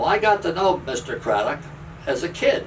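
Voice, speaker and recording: Fairly quick speech in an American accent against noticeable background noise. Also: man. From northeastern US, Pennsylvania and New Jersey. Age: 80s+. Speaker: retired railroader. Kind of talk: interview storytelling.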